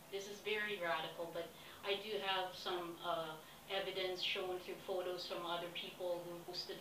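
A woman at medium pitch and a moderate pace, with noticeable background noise. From Philippines. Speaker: expedition applicant. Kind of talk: self-recorded application pitch. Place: home room. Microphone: webcam.

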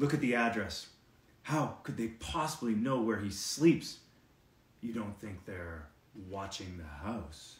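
A man in a put-on character voice speaks at a fairly slow pace, his medium-pitched delivery shaky and carrying a slight echo. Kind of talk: storytelling read-aloud. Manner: quivering, fearful.

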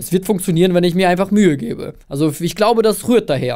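A man at a fairly quick pace with lively intonation. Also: quiet background. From Russia/Kazakhstan, moved to Germany at eight. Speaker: agency founder, filmmaker; podcast guest. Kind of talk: casual interview chat. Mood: relaxed, cheerful. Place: studio. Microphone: studio mic.

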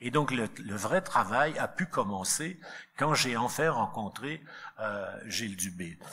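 In a fairly low pitch, a man speaks at a very slow pace with a bright, sharp tone. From Quebec. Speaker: philosophy professor and book editor; philosophy professor. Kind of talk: book launch speech. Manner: halting, repeated words. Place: hall. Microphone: podium.

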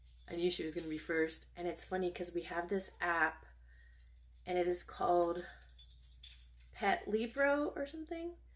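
Faint music plays behind a woman who talks at a moderate pace with long, frequent pauses. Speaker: lifestyle vlogger. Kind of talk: casual vlog chat. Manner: animated. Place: home room. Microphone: phone near.

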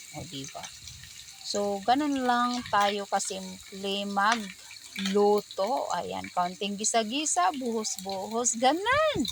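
Over noticeable background noise and audible room echo, a woman speaks at a very slow pace with a medium pitch, lively intonation and big swings in loudness. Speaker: cooking vlogger. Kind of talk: tutorial. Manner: animated.

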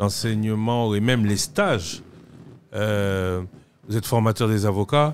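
Speech comes at a very slow pace with long, frequent pauses and ordinary pitch variation. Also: man, fairly low pitch for a man. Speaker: TV magazine host. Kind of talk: interview. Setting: studio.

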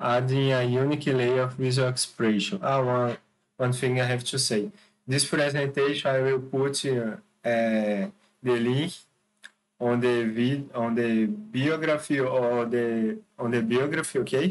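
A man with a Brazilian accent at medium pitch, fairly slow, very even in loudness, with ordinary pitch variation. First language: Portuguese. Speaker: architect and video channel creator. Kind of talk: presentation / tutorial with screen demo. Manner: halting, hesitant, with frequent fillers. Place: home room. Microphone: webcam.

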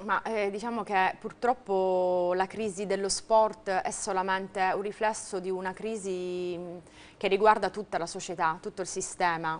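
This woman speaks at a fairly slow pace in a monotone, flat intonation. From Sicily. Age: 30s. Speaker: volleyball player; interviewee. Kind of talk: TV interview. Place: studio. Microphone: lapel.

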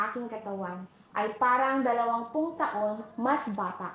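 Her pitch fairly high, a woman speaks at a fairly slow pace with audible room echo and noticeable background noise. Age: 40s. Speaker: homemaker giving product testimonial. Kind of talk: testimonial.

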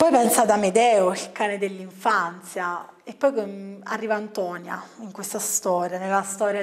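With an ordinary speaking voice, a woman speaks at a fairly slow pace in a medium pitch, her intonation fairly even but her loudness swinging widely. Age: young. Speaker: book reviewer. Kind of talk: book review monologue. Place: studio.

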